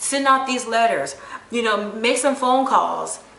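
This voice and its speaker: A woman with ordinary pitch variation, audible room echo and noticeable background noise. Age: 40s. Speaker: vlogger. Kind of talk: casual vlog monologue. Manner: excited, rambling.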